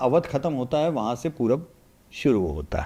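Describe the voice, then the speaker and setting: Lively intonation marks this man's voice, which carries a dark, mellow tone. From India, Varanasi (Uttar Pradesh). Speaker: political analyst. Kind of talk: podcast interview. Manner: animated.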